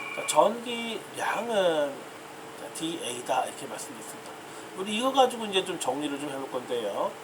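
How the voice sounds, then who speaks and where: Pitched high, a man speaks at a moderate pace with very wide pitch swings and big swings in loudness, amid audible room echo and noticeable background noise. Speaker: university professor. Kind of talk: lecture.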